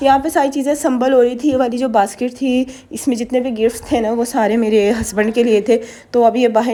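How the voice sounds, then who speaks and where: There is noticeable background noise. A woman speaks at a moderate pace over it. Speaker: vlogger. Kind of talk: vlog voiceover narration. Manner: casual, chatty.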